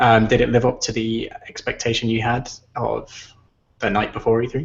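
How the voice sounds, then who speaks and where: In an English accent, the man speaks at medium pitch and a moderate pace, his intonation flat and monotone. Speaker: video game podcast host. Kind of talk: casual chat. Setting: video call.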